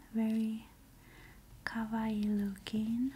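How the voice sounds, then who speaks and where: Soft-spoken and very slow, a woman talks over light background noise. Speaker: ASMR creator. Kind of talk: soft-spoken ASMR unboxing. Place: home room. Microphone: earbuds.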